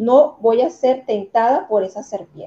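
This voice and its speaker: Using ordinary pitch variation, a woman with a Venezuelan accent speaks at a fairly slow pace. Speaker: motivational coach. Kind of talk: talk show interview.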